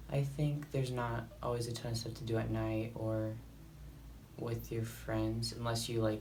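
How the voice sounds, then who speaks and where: Here a man is talking. His pace is moderate. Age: young. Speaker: college student. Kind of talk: casual talk to camera.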